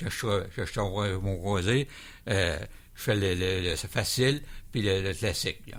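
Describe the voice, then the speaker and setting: Audible room echo surrounds a man speaking at a fairly slow pace with long, frequent pauses. His fairly low pitch shows ordinary variation. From Quebec, Montmagny. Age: 70s. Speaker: plane crash survivor. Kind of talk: radio interview. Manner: halting, repeats words.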